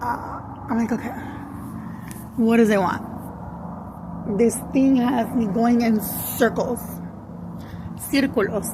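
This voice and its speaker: Through audible room echo and noticeable background noise, a woman speaks at a very slow pace with long, frequent pauses, her fairly high voice keeping a fairly even intonation. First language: Spanish. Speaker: spiritual content creator. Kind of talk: casual monologue, story time. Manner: slow, halting; code-switching English and Spanish.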